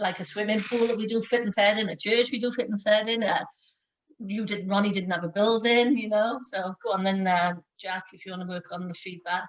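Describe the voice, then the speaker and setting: Speaking at a fairly quick pace in a Welsh accent, a woman keeps a medium pitch and fairly even intonation, though her loudness swings widely. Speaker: sports programme lead. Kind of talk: online workshop hosting. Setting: video call.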